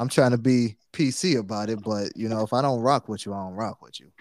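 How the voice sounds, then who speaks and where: With a plain, everyday voice, a man talks at a fairly quick pace in a dry, close sound with no echo. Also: very clean recording, silent background. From Detroit, west side. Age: 40s. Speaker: podcast co-host. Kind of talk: casual chat.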